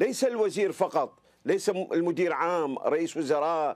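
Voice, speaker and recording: A high-pitched man at a fairly slow pace against a quiet background. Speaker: former anti-corruption council member. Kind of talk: interview answer.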